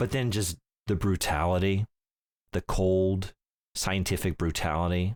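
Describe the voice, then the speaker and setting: Pausing long and often, a man with a very deep, low voice speaks with fairly even intonation in a dry, close sound with no echo, a very clean recording with a silent background. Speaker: video game podcast host. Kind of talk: casual chat. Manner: fumbles words, repeats.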